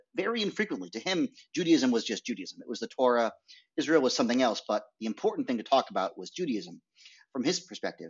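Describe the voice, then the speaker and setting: Talking at a very fast pace with an American accent and vocal fry, a man shows very wide pitch swings and big swings in loudness. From US Northeast (rural Maine). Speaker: documentary filmmaker. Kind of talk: interview. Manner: halting.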